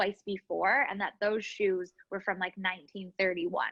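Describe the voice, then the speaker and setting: In a Canadian accent, a woman with a normal speaking voice talks at medium pitch and a moderate pace. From Canada, Winnipeg. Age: 30s. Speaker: business owner. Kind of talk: interview. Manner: casual, filler-heavy.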